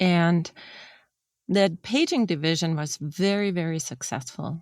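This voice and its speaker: Her pitch fairly low for a woman, she speaks at a fairly slow pace with ordinary pitch variation. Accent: German. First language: German. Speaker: former industrial designer. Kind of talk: interview. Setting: podcast.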